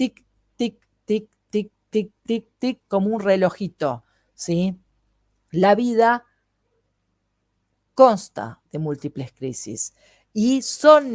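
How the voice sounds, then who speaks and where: A woman at a very slow pace with long, frequent pauses and very wide pitch swings, dry and close with no echo, on a very clean recording with a silent background. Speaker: holistic therapist. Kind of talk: lecture.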